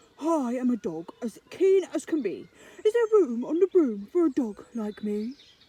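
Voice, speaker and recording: This put-on character voice sits high in pitch and swings very widely. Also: moderate pace. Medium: read story.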